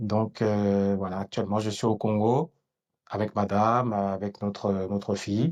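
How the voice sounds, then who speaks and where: A man talks at a fairly slow pace and a fairly low pitch against a quiet background. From France. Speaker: entrepreneur and political activist. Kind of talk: podcast conversation. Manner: hesitant, many fillers.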